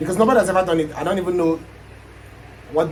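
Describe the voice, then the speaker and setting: Over noticeable background noise, a man with a high pitch and ordinary pitch variation talks at a very fast pace. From Nigeria. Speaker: aspiring YouTuber. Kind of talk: casual chat. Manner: energetic.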